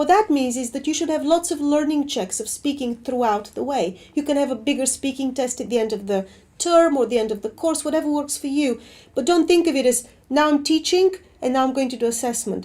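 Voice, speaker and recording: With a non-native accent, a woman speaks at a high pitch with ordinary pitch variation and a dark, mellow tone. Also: fairly quick pace. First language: not English. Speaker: assessment researcher. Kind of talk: webinar Q&A.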